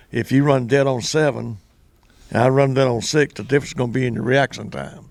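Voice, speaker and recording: A man with a Southern US accent speaks at a fairly quick pace and medium pitch, keeping his intonation fairly even. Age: 80s+. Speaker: former drag racer and track announcer. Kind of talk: casual interview. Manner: halting.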